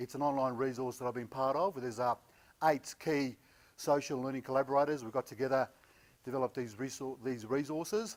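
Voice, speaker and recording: Talking at a fairly quick pace, a man with an Australian accent keeps a medium pitch with ordinary pitch variation. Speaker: conference speaker, learning consultant. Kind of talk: conference presentation. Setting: stage with live audience, no microphone. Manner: casual, with frequent hesitations.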